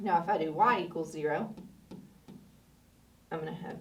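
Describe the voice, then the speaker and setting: The speaker is a woman. Room echo is audible in the recording. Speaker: math teacher. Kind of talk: tutorial.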